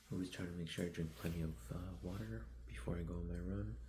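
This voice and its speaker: A man whispering at a moderate pace, with audible room echo. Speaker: vlogger, amateur runner. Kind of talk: vlog narration. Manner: casual, hesitant.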